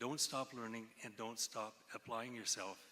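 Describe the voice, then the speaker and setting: At a fairly slow pace, a man speaks at a medium pitch. His tone is bright and sharp. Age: 60s. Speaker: cancer researcher giving convocation address. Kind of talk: convocation speech.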